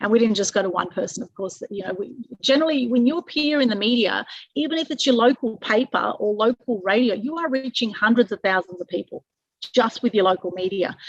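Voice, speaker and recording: Speaking very fast, a woman with an Australian accent uses a fairly high pitch and lively intonation. The sound is dry and close with no echo. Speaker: publicity consultant. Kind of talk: webinar presentation.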